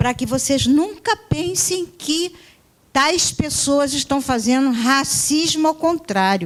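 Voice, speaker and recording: A woman speaks at a very slow pace in a high pitch. Her pitch swings very widely while her loudness stays very even. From Brazil, Rio de Janeiro and Northeast. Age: 60s. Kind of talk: conference lecture. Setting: university auditorium.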